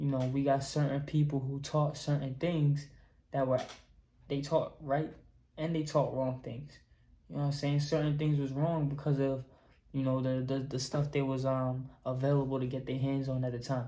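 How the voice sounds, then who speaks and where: At a moderate pace, a somewhat breathy voice with a dark, mellow tone speaks in a monotone, flat intonation amid audible room echo. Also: man, fairly high pitch for a man. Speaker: YouTuber, holistic healing talk. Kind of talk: casual vlog monologue. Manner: casual, filler-heavy.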